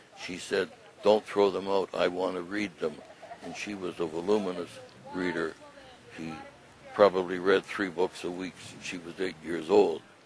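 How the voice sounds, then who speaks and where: Over noticeable background noise, a man with a very deep, low voice talks at a moderate pace in a flat monotone, leaving long, frequent pauses. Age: 80s+. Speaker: elderly widower sharing healthcare experience. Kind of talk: testimony. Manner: halting.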